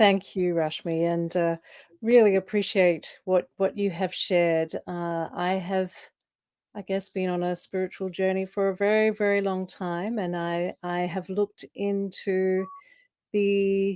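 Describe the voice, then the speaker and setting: In an Australian accent, a woman of medium pitch speaks at a fairly slow pace with monotone, flat intonation. The very clean recording has a silent background and a dry, close sound with no echo. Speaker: coach. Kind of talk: panel discussion. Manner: halting.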